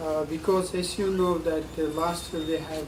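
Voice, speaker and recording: A man speaks at a high pitch in a flat, monotone delivery, with noticeable background noise and audible room echo. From Mongolia, countryside. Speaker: diplomat. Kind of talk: panel speech.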